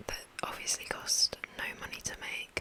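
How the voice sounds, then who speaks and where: A woman whispers very slowly while noticeable noise carries in the background. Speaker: ASMR creator. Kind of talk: whispered ASMR ramble. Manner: whispered.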